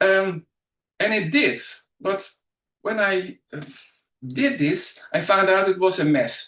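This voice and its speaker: Speaking with a Dutch accent, a man uses a high pitch and lively intonation. His pace is very slow, with long, frequent pauses. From Netherlands. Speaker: educational trainer and mind map coach. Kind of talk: webinar presentation. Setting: online webinar. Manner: halting, many fillers.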